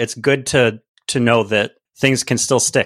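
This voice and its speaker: In an American accent, a man with an unremarkable speaking voice and medium pitch talks at a moderate pace on a very clean, dry, close recording with a silent background and no echo. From Central New York, near Syracuse. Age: 30s. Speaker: musician and guest co-host. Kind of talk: casual chat.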